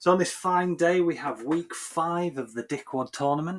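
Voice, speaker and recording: A man talks at a moderate pace in a strong Yorkshire accent. The recording is very clean, with a silent background. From Yorkshire, northern England. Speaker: game commentator. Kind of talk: live commentary; casual chat.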